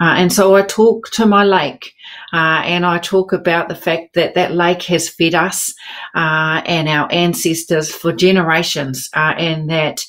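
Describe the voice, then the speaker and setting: Over a quiet background, a woman speaks slowly in a fairly low voice with fairly even intonation. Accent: New Zealand. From New Zealand, South Island; New Zealand. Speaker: writer; panel writer. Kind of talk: panel discussion. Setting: video call. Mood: reflective, warm. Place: home room.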